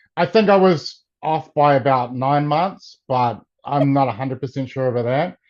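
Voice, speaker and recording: A man with a New Zealand accent speaks at a moderate pace and fairly high pitch, with ordinary variation. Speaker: martial arts coach. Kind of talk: interview.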